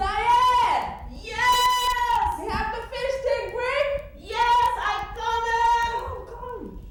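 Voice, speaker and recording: This is a put-on character voice pitched extremely high. It moves very slowly in a flat monotone. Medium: stage play.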